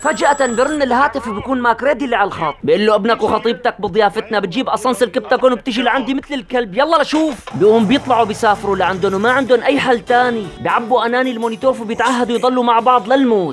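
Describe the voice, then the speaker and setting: Someone talks at a very fast pace in a Syrian accent, with hardly any pauses. Music plays in the background. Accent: Syrian Hama dialect. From Hama, Syria. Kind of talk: film recap narration. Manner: lively, humorous storytelling.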